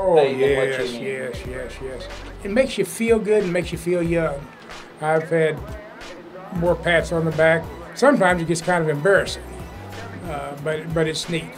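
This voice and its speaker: A man speaks at a moderate pace in a relaxed tone, with ordinary pitch variation and long, frequent pauses. Clear music plays in the background. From Oklahoma, United States. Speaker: high school sports PA announcer. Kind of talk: interview answer. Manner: folksy, relaxed, good-humored. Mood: warm, gently humorous.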